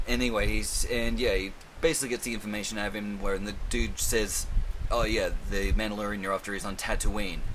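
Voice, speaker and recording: The man's fairly quick speech carries audible echo from the room. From Australia. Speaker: film and TV reviewer. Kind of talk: casual monologue review. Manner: casual, rambling, swears a lot.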